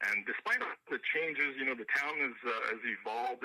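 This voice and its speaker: In a French Canadian accent, a man talks at a moderate pace. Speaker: country singer-songwriter. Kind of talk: radio interview. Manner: halting, many fillers.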